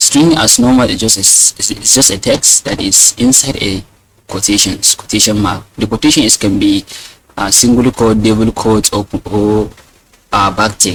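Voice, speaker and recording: A man with a non-native accent, fairly low pitch, ordinary pitch variation and a moderate pace. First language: not English. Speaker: programming teacher. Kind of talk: tutorial. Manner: hesitant, many fillers and repeats.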